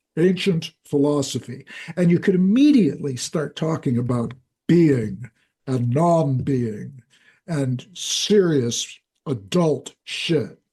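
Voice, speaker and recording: With lively intonation and a fairly slow pace, a man talks in a dark, mellow, somewhat breathy voice pitched fairly high for a man. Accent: American. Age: 70s. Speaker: scholar and author. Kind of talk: long-form interview. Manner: halting, repeats words.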